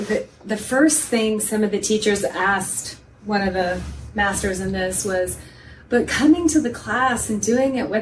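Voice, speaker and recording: Against noticeable background noise, a woman with an American accent speaks at a fairly high pitch. Her pace is moderate and her pitch variation ordinary. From Texas. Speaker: podcast co-host and exercise instructor. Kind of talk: casual interview chat.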